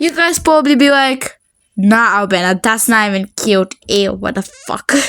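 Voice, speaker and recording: A woman with a Bulgarian accent, fairly high in pitch, at a fairly slow pace. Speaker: beginner artist YouTuber. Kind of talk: casual commentary over drawing. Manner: halting.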